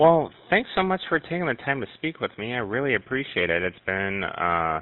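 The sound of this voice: With lively intonation and a medium pitch, a man talks at a moderate pace.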